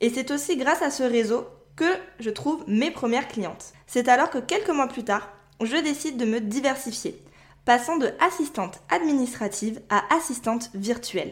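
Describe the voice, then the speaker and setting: A woman with a high pitch talks at a moderate speed, her intonation lively. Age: 20s. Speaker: podcast host and virtual assistant. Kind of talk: solo podcast monologue.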